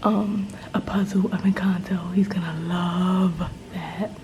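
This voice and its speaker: Over noticeable background noise, a woman at a medium pitch talks with monotone, flat intonation. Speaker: vlogger. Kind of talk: casual vlog. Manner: whispering.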